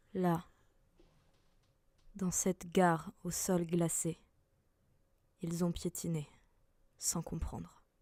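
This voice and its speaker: A woman speaks very slowly in a somewhat breathy, dark and mellow voice with monotone, flat intonation and long, frequent pauses, in a dry, close sound with no echo. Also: fairly low pitch for a woman. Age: young. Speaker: student actress. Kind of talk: solemn narration.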